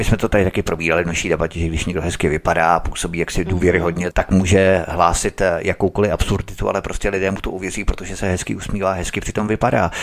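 A man speaks at a very fast pace in a very deep, low pitch. There is noticeable background noise. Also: fairly even intonation. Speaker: radio host. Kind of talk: talk radio hosting. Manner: formal.

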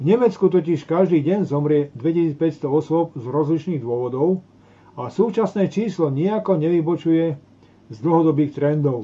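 Big swings in loudness from a man at a moderate pace, his pitch fairly high with ordinary pitch variation. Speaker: talk show host. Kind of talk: reading aloud. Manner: halting over technical words.

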